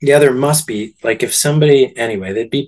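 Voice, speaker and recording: A man speaks with a Canadian accent in a normal speaking voice. His pace is moderate and his pitch varies in an ordinary way. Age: 40s. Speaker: movie theatre owner. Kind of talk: interview.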